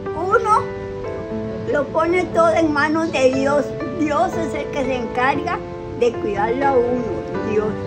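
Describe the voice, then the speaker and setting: Loud background noise sits behind a woman who speaks at a very slow pace with long, frequent pauses. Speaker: interviewed elder. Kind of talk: interview answer. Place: home room. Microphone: phone near.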